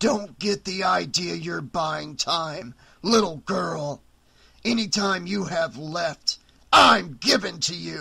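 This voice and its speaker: A man's put-on character voice, growling and menacing, pitched high and delivered at a fairly slow pace. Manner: snarling, menacing.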